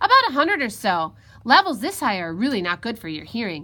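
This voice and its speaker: Racing at a very fast pace, a woman puts on a character voice that is fairly high and swings very widely in pitch. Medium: read story.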